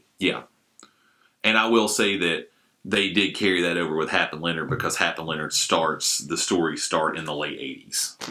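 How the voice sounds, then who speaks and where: Loud and bright with a sharp tone, a man speaks at a very deep, low pitch. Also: ordinary pitch variation, moderate pace. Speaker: podcaster and film fan. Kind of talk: casual chat.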